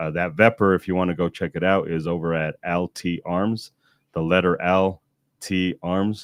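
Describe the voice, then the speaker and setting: A man speaks in a very deep, low, flat monotone at a fairly slow pace. The recording is very clean with a silent background, and the sound is dry and close with no echo. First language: not English. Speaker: gun rights podcast host. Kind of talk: casual live stream chat. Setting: live stream.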